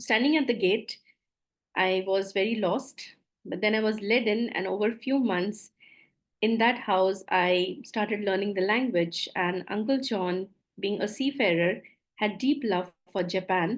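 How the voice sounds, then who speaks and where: A woman with an Indian accent speaks at a fairly slow pace in a medium pitch. Her pitch variation is ordinary, and the background is quiet. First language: Maithili. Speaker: coach, former doctor. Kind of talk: webinar presentation. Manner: halting.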